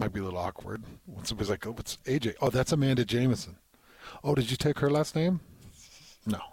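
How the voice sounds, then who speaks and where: A man talks at a fairly quick pace in a medium pitch, somewhat breathy, with lively intonation. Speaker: radio host. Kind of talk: casual sports talk radio. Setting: radio studio.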